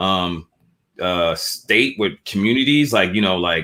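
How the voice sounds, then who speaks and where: Speaking at a fairly slow pace, a man has a fairly low pitch and a bright, sharp tone. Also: very clean recording, silent background. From Boston, Massachusetts (Dorchester). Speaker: entrepreneur and clothing brand founder. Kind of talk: interview conversation. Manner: casual, with many fillers and restarts.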